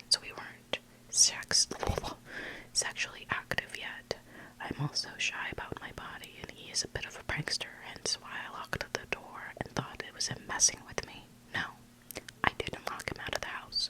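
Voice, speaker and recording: Over noticeable background noise, a whispered voice moves along at a moderate pace. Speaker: ASMR content creator. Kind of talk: ASMR story reading.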